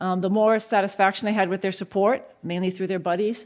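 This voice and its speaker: The recording is very clean with a silent background. The speech moves at a fairly quick pace with fairly even intonation. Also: woman. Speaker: researcher. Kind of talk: conference lecture. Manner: fast.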